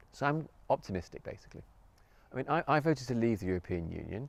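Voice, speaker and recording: The speaker talks at a fairly quick pace with very wide pitch swings. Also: man. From North Yorkshire, England. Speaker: graphic designer. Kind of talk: interview answer. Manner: hesitant, many fillers.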